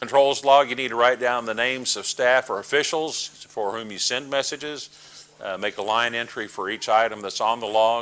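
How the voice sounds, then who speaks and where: Speaking with a Texas accent, a man keeps his intonation fairly even while his loudness swings widely. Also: medium pitch for a man. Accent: Texas drawl. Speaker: amateur radio trainer. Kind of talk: training presentation. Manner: halting, many fillers.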